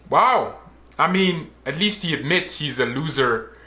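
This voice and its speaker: A man speaks in a raised, projected voice with a bright, sharp tone. His pitch swings very widely, and the room echo is audible. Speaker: reaction youtuber. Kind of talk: reaction commentary. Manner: loud; animated.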